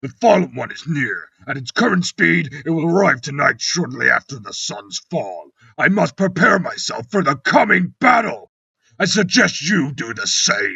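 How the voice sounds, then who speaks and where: A man's growling, put-on character voice, high in pitch, at a moderate pace with big swings in loudness. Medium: read story. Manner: measured, cold.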